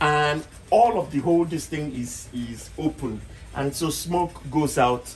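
Faint music sits in the background as a man talks at a fairly slow pace. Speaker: channel host. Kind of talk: casual tour and tutorial talk. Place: kitchen. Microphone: phone near.

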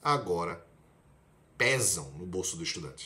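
A man talks in a bright, sharp tone at a fairly slow pace. His pitch makes very wide swings. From Brazil, Recife (Pernambuco); Pernambuco, Brazil. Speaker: medical student, video blogger; video blogger. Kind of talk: casual explainer vlog. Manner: conversational, direct address to viewer. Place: home room. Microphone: phone near.

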